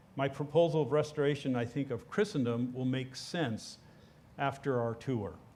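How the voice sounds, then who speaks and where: A man with a dark, mellow tone speaks at a medium pitch and a moderate pace. His pitch varies in an ordinary way, and there is audible room echo. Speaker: church teacher leading an adult class. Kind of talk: lecture. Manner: casual, with many filler words.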